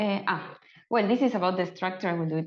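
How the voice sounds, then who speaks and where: A woman's voice with an Argentine accent. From Argentina. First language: Spanish. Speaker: open culture advocate presenting a case study. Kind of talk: webinar presentation. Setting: online webinar. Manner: halting with many fillers.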